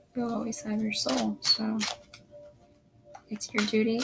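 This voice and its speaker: A soft-spoken woman talks in a calm tone. Music plays in the background. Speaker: tarot reader. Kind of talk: tarot reading. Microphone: poor sound quality.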